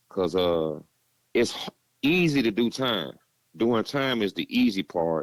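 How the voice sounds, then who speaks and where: A man with an American accent, medium in pitch, with very wide pitch swings, a fairly slow pace and long, frequent pauses. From Gary, Indiana (US Midwest). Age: 40s. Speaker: former prisoner, warehouse worker. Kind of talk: casual podcast interview, life story. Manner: laid back, casual.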